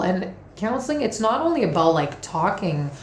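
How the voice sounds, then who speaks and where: Woman at a moderate pace, with audible room echo and noticeable background noise. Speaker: tarot and oracle card reader. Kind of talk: monthly oracle card reading to camera. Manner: casual, with many fillers and restarts.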